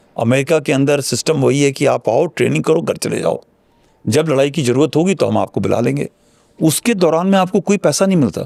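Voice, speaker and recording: A man's fairly high voice with vocal fry and lively intonation, at a moderate pace, very even in loudness, in a dry, close sound with no echo. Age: 60s. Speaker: retired army general. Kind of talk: interview.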